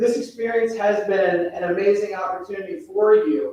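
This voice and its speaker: This man talks loudly in a high voice with lively intonation. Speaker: college administrator. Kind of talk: formal welcome speech.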